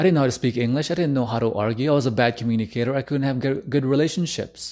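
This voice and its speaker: With a non-native accent, this voice has a dark, mellow tone and fairly even intonation against a quiet background. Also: man. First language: not English. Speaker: relationship coach. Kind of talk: live stream talk. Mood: earnest, personal. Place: home room. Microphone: studio mic.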